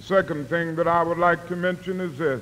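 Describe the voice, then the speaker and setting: A high-pitched man with an American accent and fairly even intonation. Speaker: civil rights leader and preacher. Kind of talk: formal oratorical speech to an audience.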